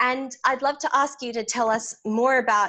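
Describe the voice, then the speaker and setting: A woman with an Australian accent, a bright, sharp tone and fairly even intonation. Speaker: podcast host. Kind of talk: interview.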